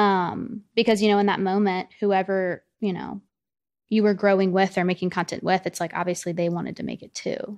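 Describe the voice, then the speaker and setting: Against a quiet background, a woman with a Southern US accent talks at a moderate pace in a medium pitch, her intonation monotone and flat. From US South. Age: 20s. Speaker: social media influencer. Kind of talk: casual chat.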